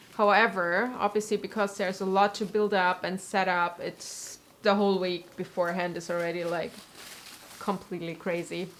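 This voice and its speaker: In a southwestern German accent, a woman with a medium pitch speaks at a moderate pace in a monotone, flat intonation. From southwestern Germany. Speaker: cosplayer and costume maker. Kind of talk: casual live stream tutorial chat.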